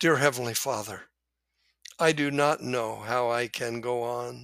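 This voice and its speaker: A man's medium-pitched voice, solemn in tone yet bright and sharp, at a very slow pace with ordinary pitch variation, dry and close with no echo on a very clean recording with a silent background. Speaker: author and podcast host. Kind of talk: book reading and commentary, religious testimony; dramatic narration of a pioneer story, solemn and emotive. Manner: solemn, sincere, earnest.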